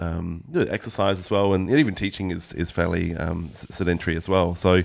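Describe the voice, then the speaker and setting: Talking at a fairly quick pace, a man with an Australian accent has a very deep, low pitch. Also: ordinary pitch variation. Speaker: musician and guitar teacher. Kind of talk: interview. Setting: music school. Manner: fast.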